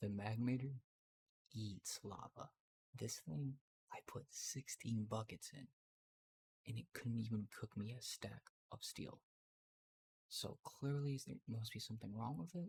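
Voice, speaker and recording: A man whispers, somewhat breathy, at a fairly slow pace with long, frequent pauses. The sound is dry and close, with no echo. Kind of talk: ASMR gameplay commentary. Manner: whispered; casual, hesitant.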